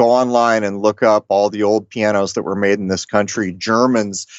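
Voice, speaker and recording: An unremarkable speaking voice: a man with an American accent talks at a fairly quick pace, medium in pitch, with ordinary pitch variation. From Rhode Island, US. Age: 50s. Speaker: podcast host. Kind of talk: casual chat.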